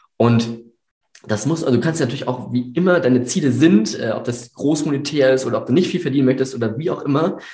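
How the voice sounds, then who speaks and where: Very fast, somewhat breathy speech with ordinary pitch variation and audible room echo. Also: man, medium pitch for a man. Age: 18. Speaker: videographer and business owner. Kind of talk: interview. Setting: studio, in person at the host's office.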